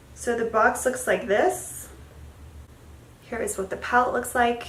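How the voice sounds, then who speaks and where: A woman's high voice at a fairly slow pace, with ordinary pitch variation and audible room echo. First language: Spanish. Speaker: beauty vlogger. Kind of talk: product review. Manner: casual, chatty.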